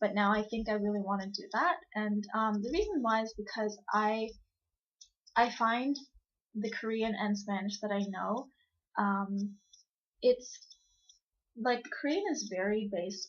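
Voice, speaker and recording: With a somewhat breathy, fairly high voice and ordinary pitch variation, a woman talks at a fairly slow pace, leaving long, frequent pauses. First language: Cantonese. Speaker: vlogger. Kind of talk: casual vlog talk. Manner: hesitant, many fillers.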